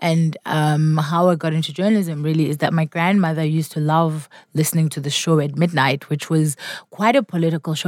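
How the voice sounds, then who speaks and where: At a very fast pace, a woman speaks in a very deep, low pitch. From South Africa. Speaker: public speaker and academic. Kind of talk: interview conversation.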